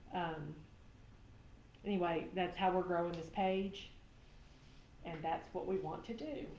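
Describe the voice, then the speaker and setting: With a Southern US accent, the speaker moves at a fairly slow pace with long, frequent pauses and ordinary pitch variation, and audible room echo surrounds the voice. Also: woman, fairly low pitch for a woman. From Tennessee, US South. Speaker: craft live-stream host. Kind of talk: live craft demo chat. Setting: live stream.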